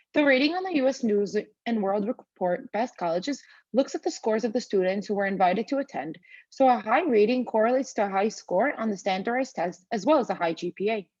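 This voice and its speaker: With a non-native accent, a woman speaks very fast in a fairly high pitch with lively intonation. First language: not English. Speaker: student. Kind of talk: reading aloud. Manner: formal.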